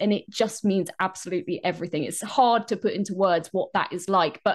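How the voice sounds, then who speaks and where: A woman talks at a fairly quick pace, with only a quiet background around her. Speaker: blind voice talent and audio description narrator. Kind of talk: interview answer, casual talk to camera. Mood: warm, emotional, heartfelt. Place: home room. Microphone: video call.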